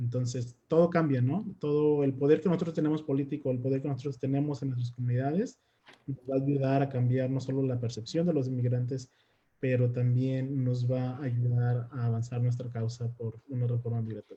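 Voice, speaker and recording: Here a man talks at a medium pitch with fairly even intonation. He has an unremarkable speaking voice and a fairly quick pace. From Mexico. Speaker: immigrant rights activist. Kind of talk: panel discussion.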